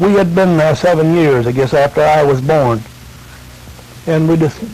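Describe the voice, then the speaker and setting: Noticeable background noise behind a man's fairly high pitch, very even loudness and ordinary pitch variation. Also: moderate pace. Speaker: grandfather recounting family history. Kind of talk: oral family-history storytelling into a tape recorder. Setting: home tape recording, vintage audio. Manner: casual, rambling, folksy.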